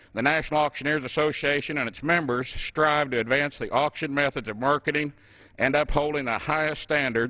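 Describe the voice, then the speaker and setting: A man with an American accent has an ordinary speaking voice at a fairly high pitch and a moderate pace. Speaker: U.S. congressman and former auctioneer. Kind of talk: formal floor speech in legislature.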